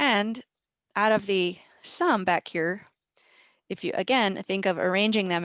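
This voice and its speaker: A woman's plain, everyday voice at a medium pitch, with ordinary pitch variation. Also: quiet background. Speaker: statistics professor. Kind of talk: lecture. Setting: video call.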